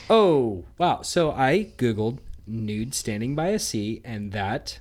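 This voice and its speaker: Over a silent background in a very clean recording, a man speaks at medium pitch. His intonation is lively and his pace very slow. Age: 30s. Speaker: podcast co-host. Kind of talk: casual chat.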